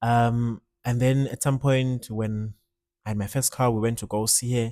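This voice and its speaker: A man with a Zulu accent speaks at a medium pitch in a dark, mellow tone, on a very clean recording with a silent background. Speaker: musician. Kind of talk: casual monologue. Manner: casual, code-switching.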